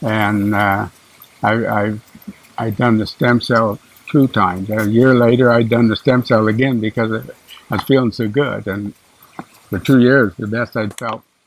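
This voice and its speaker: Against noticeable background noise, a man at medium pitch speaks at a moderate pace with fairly even intonation and long, frequent pauses. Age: 70s. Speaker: golf course owner, cancer patient. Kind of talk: interview testimony. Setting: outdoors at golf course.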